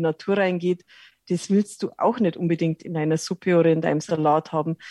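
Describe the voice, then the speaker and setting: In a dry, close recording with no echo and a quiet background, a woman speaks at a moderate pace. Her fairly low voice has a dark, mellow tone and fairly even intonation. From rural Lower Bavaria, Germany. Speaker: cook and wild herb expert. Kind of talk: interview.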